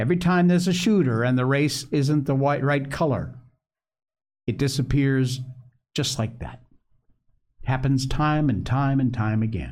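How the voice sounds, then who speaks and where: A man talks at a moderate pace with long, frequent pauses. His pitch is medium, with ordinary variation. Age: 60s. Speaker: political commentator livestream host. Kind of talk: live opinionated commentary show. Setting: live stream studio. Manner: animated, conversational.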